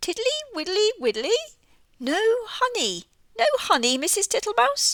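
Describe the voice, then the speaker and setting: A woman's put-on character voice, squeaky and wheezy, extremely high-pitched, with very wide swings in pitch. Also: moderate pace. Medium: read story. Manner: slow, repetitive.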